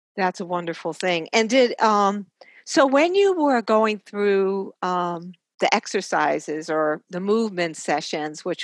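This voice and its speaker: In an ordinary speaking voice, a woman talks at a medium pitch with ordinary pitch variation. The background is quiet. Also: dry, close sound with no echo. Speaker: podcast host and nurse. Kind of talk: interview for a health podcast.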